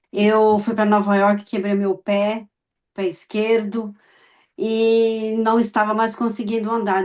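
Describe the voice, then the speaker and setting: This woman has a fairly high pitch and fairly even intonation, speaking at a very slow pace. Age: 60s. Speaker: immigrant client giving testimonial. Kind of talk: testimony.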